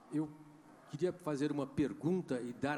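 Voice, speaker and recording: At a moderate pace, a man with a fairly high pitch, a dark, mellow tone, and vocal fry speaks with ordinary pitch variation. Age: 70s. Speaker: audience member, author. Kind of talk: question from the floor at a panel debate.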